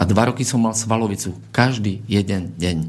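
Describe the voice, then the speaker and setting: With vocal fry, a man speaks at a medium pitch and a moderate pace, using ordinary pitch variation. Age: 30s. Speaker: martial arts coach. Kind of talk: radio interview.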